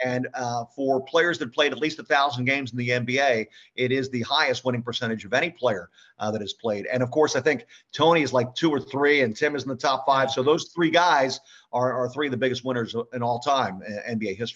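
In an American accent, a man talks at a fairly quick pace in an ordinary speaking voice of medium pitch with ordinary pitch variation. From US Northeast (Philadelphia). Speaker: sports radio play-by-play announcer. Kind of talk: casual interview.

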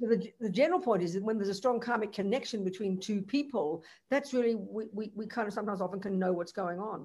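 A woman speaks at a medium pitch and a moderate pace, her voice somewhat breathy. Her pitch varies in an ordinary way over a quiet background. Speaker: Buddhist nun teacher. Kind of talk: Dharma teaching with Q&A over interpreter. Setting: video call.

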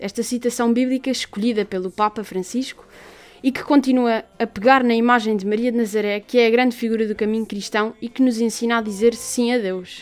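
A woman speaks in an unremarkable speaking voice at a fairly quick pace. Her pitch is fairly high and her intonation fairly even. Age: 18. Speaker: student radio co-host. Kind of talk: radio show chat, partly scripted.

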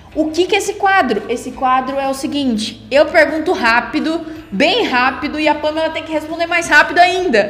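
Against noticeable background noise, a woman with a high pitch speaks at a moderate pace with lively intonation and hardly any pauses. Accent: strong interior São Paulo. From Bauru, interior of São Paulo, Brazil. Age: 20s. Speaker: podcast host, advertising student. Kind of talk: casual chat.

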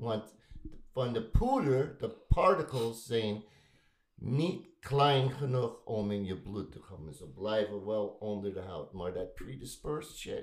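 Very slowly, a man speaks at a medium pitch with lively intonation and big swings in loudness. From United States. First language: English (speaking Dutch). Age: 70s. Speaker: veteran tattoo artist. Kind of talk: casual chat. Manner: halting.

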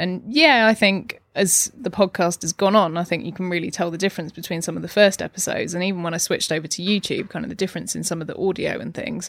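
Speaking at a very fast pace, a woman shows vocal fry. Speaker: podcaster. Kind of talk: casual interview chat. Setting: home.

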